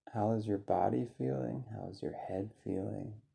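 A man with a fairly low pitch and a dark, mellow, calm, soothing tone, somewhat breathy, at a fairly slow pace with lively intonation. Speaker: meditation guide. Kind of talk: guided meditation. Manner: slow, calm and soothing, with gentle pauses; soft-spoken and inviting.

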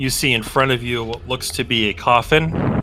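A man talks at a moderate pace while noticeable background noise continues underneath. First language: not English. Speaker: game master of a tabletop roleplaying game. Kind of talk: tabletop game narration. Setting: voice chat.

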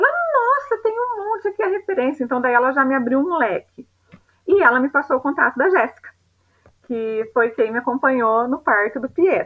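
Her pitch swings very widely at a moderate pace. The woman speaks with a high pitch. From São Paulo state countryside, Brazil. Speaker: mother sharing birth story. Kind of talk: personal testimony. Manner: halting.

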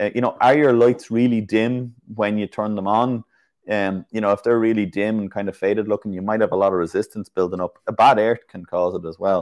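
A man with a Dublin accent speaks at a fairly low pitch with fairly even intonation. The sound is dry and close with no echo, against a quiet background. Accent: Irish (Dublin). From Ireland. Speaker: classic car mechanic YouTuber. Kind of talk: casual live-stream chat. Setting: online live stream.

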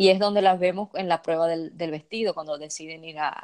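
Here is a woman with an unremarkable speaking voice and fairly even intonation. The sound is dry and close, with no echo. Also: quiet background. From Dominican Republic. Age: 20s. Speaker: fan content creator. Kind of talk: casual chat.

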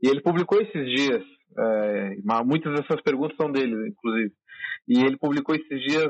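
This man has a plain, everyday voice pitched fairly high. He speaks at a moderate pace. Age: 20s. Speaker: podcast host, fan interviewer. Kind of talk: interview. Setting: phone call.

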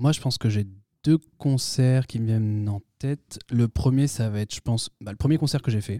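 On a very clean recording with a silent background and a dry, close sound with no echo, a dark, mellow voice moves at a fairly slow pace with ordinary pitch variation. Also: man. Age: 20s. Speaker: rock band musician. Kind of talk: casual chat.

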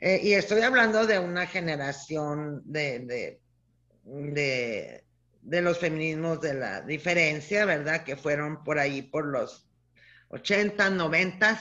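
A woman's very deep, low voice with a northern Mexican accent, bright and sharp in tone, lively in intonation, at a very slow pace. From Chihuahua, northern Mexico. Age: 60s. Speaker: feminist scholar and professor. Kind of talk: interview testimony.

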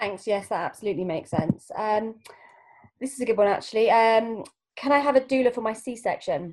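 A woman talks in an ordinary speaking voice at a fairly quick pace. Her pitch is fairly high, with ordinary pitch variation. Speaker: class host asking questions. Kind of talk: interview, casual chat.

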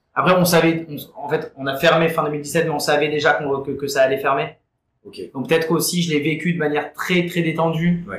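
A man with fairly high pitch and fairly even intonation. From Marseille, southern France. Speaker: bar owner. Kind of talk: casual interview. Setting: in a bar. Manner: hesitant, many repetitions.

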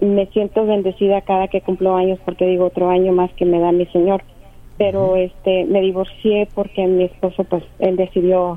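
A woman speaks at a moderate pace in a medium pitch with very even loudness. Her intonation is monotone and flat. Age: 50s. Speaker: caller. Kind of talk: phone-in question to a radio counselor.

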